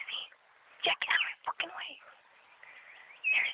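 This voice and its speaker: A woman is whispering. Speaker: vlogger. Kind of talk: casual outdoor vlog narration. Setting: outdoors. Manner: whispered, quiet. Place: forest. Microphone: phone near.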